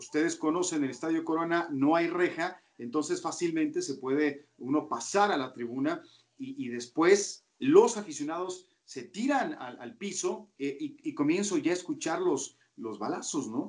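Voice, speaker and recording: A man speaks in a high voice at a fairly slow pace. His pitch swings very widely and his loudness rises and falls sharply. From Mexico, Toluca. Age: 40s. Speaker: sports commentator. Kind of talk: interview.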